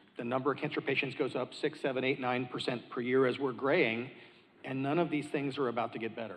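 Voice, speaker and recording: A medium-pitched man talks at a very fast pace with fairly even intonation. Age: 50s. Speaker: physician. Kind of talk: panel discussion.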